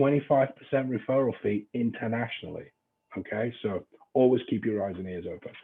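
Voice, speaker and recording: A man in an English accent at a medium pitch, moderate pace and ordinary pitch variation. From England. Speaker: real estate trainer. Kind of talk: training lecture. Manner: casual, joking.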